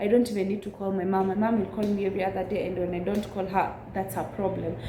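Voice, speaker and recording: Delivered at a very fast pace in a Kenyan accent, the speech is monotone with flat intonation, with noticeable background noise and audible room echo. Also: woman, medium pitch for a woman. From central Kenya. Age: 20s. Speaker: YouTuber. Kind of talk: casual chat.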